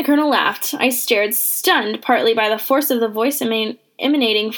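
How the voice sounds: The text comes across in a natural reading voice.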